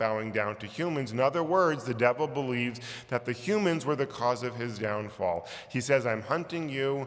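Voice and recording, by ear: This is reading aloud. The voice stays natural.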